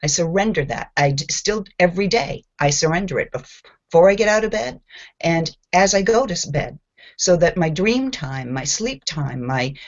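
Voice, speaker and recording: At a moderate pace, a woman speaks in a fairly low pitch with very wide pitch swings. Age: 60s. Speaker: spiritual group participant. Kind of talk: testimony. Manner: animated.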